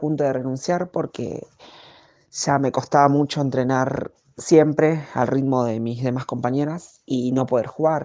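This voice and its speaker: A woman speaks with a dark, mellow tone and a very deep, low pitch. Her pace is fairly slow, and her pitch varies in an ordinary way. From Argentina, Greater Buenos Aires (González Catán area). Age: 20s. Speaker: professional footballer. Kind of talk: interview answers, personal testimony. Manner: halting, many fillers.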